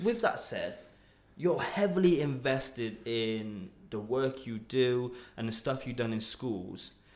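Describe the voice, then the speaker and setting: Very slow in pace, a man with a medium pitch and lively intonation speaks amid audible room echo. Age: 20s. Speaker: podcast host. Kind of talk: casual interview. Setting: office studio room.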